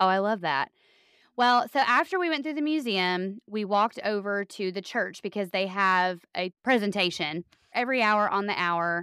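Bright, sharp tone in a Southern US accent, lively intonation, very clean recording with a silent background. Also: woman, medium pitch for a woman, moderate pace, dry, close sound with no echo. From US South. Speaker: podcast co-host. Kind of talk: casual chat.

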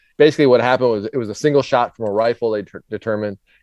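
With ordinary pitch variation and a medium pitch, a man talks in a plain, everyday voice. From Minnesota. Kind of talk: casual chat.

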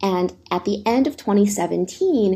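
A woman speaks with a dark, mellow tone and a somewhat breathy quality. Her pitch varies in an ordinary way. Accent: American. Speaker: think tank fellow, China tech policy expert. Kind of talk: interview.

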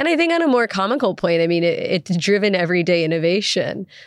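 At a moderate pace, a woman speaks at medium pitch in a normal speaking voice. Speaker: energy researcher leading discussion. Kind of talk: interview.

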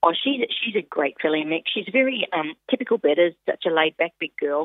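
A woman with an Australian accent talks at a fairly quick pace and fairly low pitch, with ordinary pitch variation. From Australia, Queensland. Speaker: harness racing driver and trainer. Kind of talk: phone interview.

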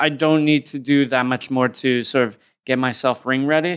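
Speaking at a fairly slow pace with an American accent, a man holds a medium pitch in a monotone, flat delivery on a very clean recording with a silent background. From US, upstate New York and Oakland. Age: 30s. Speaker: combat sports commentator and journalist. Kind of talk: casual chat.

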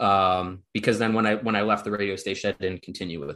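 A man with an American accent over a quiet background. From US Midwest, Kenosha, Wisconsin. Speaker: sports writer. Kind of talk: casual chat. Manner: halting, many fillers and repeats.

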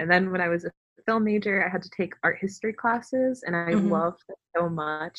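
A woman with an American accent speaks in an ordinary speaking voice, fairly low in pitch. Her intonation stays fairly even. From US South, Fayetteville, North Carolina. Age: 20s. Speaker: writer and filmmaker. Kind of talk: interview conversation.

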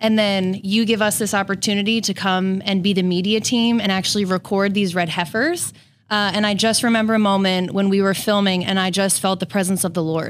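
Speaking with a normal speaking voice, a woman moves at a fairly quick pace with hardly any pauses, a medium pitch, fairly even intonation and very even loudness. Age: 30s. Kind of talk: casual chat.

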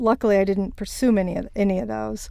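Speaking with an American accent, a woman talks at a fairly quick pace and medium pitch in a dark, mellow tone. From Virginia, US South (Shenandoah Valley). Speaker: business executive and author. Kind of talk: interview.

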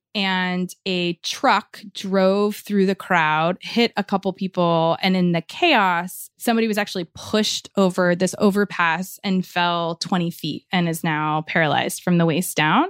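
A woman with an American accent speaks in an unremarkable speaking voice at medium pitch, fairly slow, with fairly even intonation and hardly any pauses, in a dry, close, echo-free sound on a very clean recording with a silent background. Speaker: reporter and podcast host. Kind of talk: interview.

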